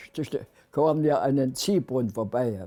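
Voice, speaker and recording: A man is speaking. His tone is dark and mellow. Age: 90s. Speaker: war veteran. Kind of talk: testimony. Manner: halting.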